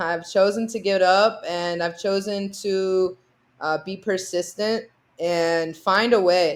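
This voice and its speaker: A woman with an American accent speaks at a very slow pace and medium pitch, her intonation fairly even. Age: young. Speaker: basketball player. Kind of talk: podcast interview.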